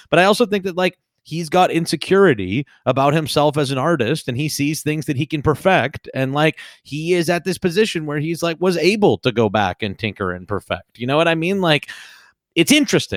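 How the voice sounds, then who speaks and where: Fairly high in pitch, a man talks at a fairly quick pace with lively intonation in a very clean recording with a silent background and a dry, close sound with no echo. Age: 30s. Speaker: podcast co-host and streamer. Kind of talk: casual chat. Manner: halting, many fillers and repetitions.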